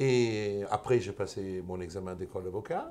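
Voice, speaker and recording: A man's somewhat breathy voice, fairly low in pitch, with a dark, mellow tone. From Italy. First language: Italian (speaking French). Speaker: lawyer. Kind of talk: interview. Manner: halting.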